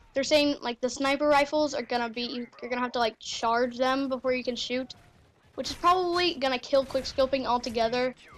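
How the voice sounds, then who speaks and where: A woman speaks loudly in a high voice. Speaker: gaming youtuber. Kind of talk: gameplay commentary. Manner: rambling with many fillers.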